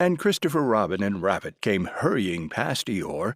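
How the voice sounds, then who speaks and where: A man with vocal fry talks at a moderate pace with very wide pitch swings, in a dry, close sound with no echo on a very clean recording with a silent background. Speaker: audiobook narrator. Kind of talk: audiobook narration.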